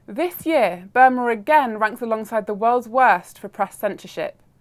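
A woman with a normal speaking voice, fairly high in pitch with ordinary pitch variation, at a moderate pace, in a very clean recording with a silent background. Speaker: news presenter. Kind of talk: formal newsreading, scripted bulletin delivery. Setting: studio. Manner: formal, crisp and measured, even pace.

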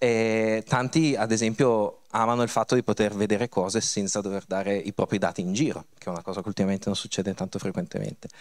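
A man talks at a very fast pace in a fairly low pitch, with ordinary pitch variation. The recording is very clean, with a silent background. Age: 50s. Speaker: tech speaker. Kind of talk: conference talk. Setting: stage with audience.

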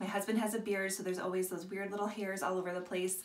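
Audible room echo surrounds the voice of a woman speaking. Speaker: product seller. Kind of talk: tutorial. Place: bathroom. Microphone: phone near.

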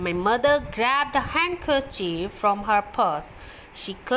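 An unforced reading voice carried by lively intonation

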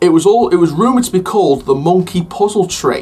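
There's a man talking at a moderate pace. Soft music can be faintly heard behind him. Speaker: theme park news vlogger. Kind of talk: casual vlog commentary. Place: home room.

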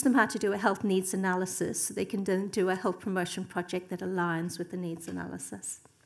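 A woman talks at a medium pitch with an Australian accent. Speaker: academic. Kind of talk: conference presentation. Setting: stage with audience. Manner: fast talker. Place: hall. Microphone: podium.

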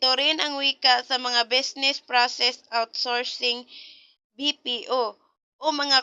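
A woman with a high-pitched voice speaks very slowly in a monotone, flat intonation. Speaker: educational video narrator. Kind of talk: reading aloud lesson notes. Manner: halting.

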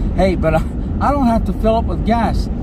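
Loud background noise runs under the speech. The sound is dry, with no echo. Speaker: traveling vlogger driving. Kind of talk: casual vlog chat. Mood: cheerful, grateful. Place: car. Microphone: phone near.

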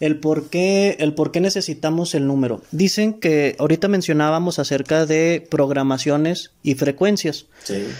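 Hardly pausing, a man speaks at a fairly slow pace and a fairly high pitch with ordinary pitch variation. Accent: Mexican. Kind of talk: casual chat.

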